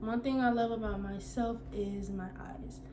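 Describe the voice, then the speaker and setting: Audible room echo and noticeable background noise around a woman's speech. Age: 20s. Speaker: vlogger. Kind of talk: casual Q&A vlog. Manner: halting, stuttering.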